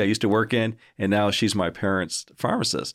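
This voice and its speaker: A man talks in a plain, everyday voice at a fairly low pitch. The recording is very clean, with a silent background. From Canada. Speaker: university provost. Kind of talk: casual interview.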